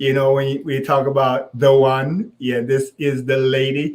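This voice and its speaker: A man with a Jamaican accent at a very slow pace. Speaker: co-host, husband. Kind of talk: casual live-stream chat. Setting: live social media video. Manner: slow, deliberately paced.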